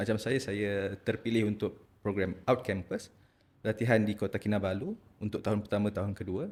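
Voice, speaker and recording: A man with a fairly low pitch speaks at a moderate pace with fairly even intonation. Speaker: ENT specialist doctor. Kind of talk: podcast interview. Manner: halting, repeats words.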